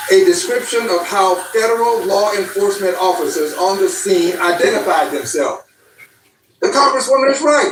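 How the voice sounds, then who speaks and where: Loudness stays very even while the pitch swings very widely at a moderate pace. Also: man, extremely high pitch for a man. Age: 70s. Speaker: congressman. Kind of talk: political speech. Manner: emphatic, rhetorical repetition.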